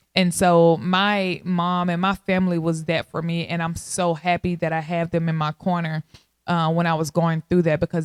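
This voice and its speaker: In a slight South Texas accent, a woman with a fairly low pitch talks at a moderate pace, the sound dry and close with no echo. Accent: slight Southern Texas. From Texarkana, Arkansas/Texas border, US South. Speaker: podcast host. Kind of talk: casual monologue. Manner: animated.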